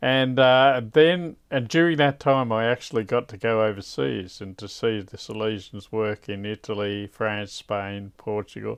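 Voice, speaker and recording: A man with an Australian accent speaks at a fairly slow pace, with hardly any pauses. His fairly low voice shows ordinary pitch variation and big swings in loudness. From Australia, Victoria (Koroit). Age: 60s. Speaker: religious brother. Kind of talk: interview.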